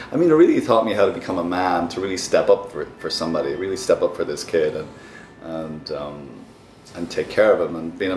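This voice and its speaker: Music plays in the background as a man with a Dublin accent talks at a very fast pace. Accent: Irish (Dublin). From Ireland, Dublin. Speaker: therapist and former actor. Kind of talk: casual interview.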